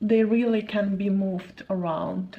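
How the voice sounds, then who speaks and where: With a non-native accent, a woman speaks at a medium pitch with vocal fry and ordinary pitch variation. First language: not English. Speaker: crochet youtuber, former clothing brand owner. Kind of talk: tutorial. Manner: casual, slightly halting.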